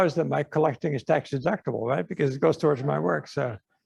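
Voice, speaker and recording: Talking at a very fast pace with vocal fry, a man comes through in a dry, close recording with no echo. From Netherlands. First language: Dutch. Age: 80s+. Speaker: artist. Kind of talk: audience Q&A at an artist talk. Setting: museum talk with audience. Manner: casual, halting with many fillers.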